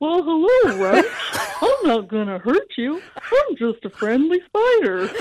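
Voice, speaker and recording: Someone puts on a character voice, high in pitch with very wide swings, at a fairly slow pace. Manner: silly, cute.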